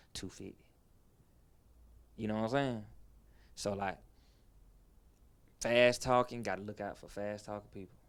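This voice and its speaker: Monotone, flat delivery with long, frequent pauses and big swings in loudness. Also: man. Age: 30s. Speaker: rapper. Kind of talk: casual interview.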